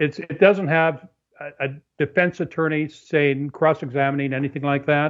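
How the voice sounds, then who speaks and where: A man's normal speaking voice, fairly high in pitch, at a moderate pace. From Canada. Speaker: author. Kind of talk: interview. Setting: phone or remote call.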